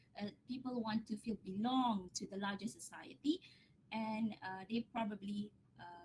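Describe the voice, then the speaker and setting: This woman has a Malaysian accent and a fairly high pitch with ordinary pitch variation. She talks at a fairly slow pace, somewhat breathy, with big swings in loudness. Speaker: academic researcher. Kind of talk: lecture Q&A answer.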